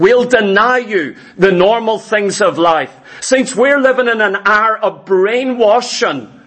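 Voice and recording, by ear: The reading aloud is done in a natural voice. Pitch moves with ordinary variation.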